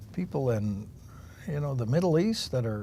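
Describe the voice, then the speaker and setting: At a moderate pace, a man talks with lively intonation in a somewhat breathy voice of dark, mellow tone. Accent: West Coast. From Oregon, Willamette Valley. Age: 70s. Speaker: political candidate. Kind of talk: interview.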